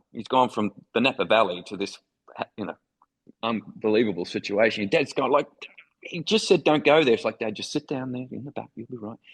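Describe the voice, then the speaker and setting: Speaking with an Australian accent, a man leaves long, frequent pauses, and the sound is dry and close with no echo. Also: medium pitch for a man, ordinary pitch variation, fairly quick pace, big swings in loudness. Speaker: foreign correspondent. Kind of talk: interview storytelling.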